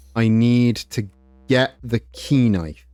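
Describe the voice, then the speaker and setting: A man at medium pitch, talking at a very slow pace over music in the background. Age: 30s. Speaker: gaming streamer. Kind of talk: casual chat.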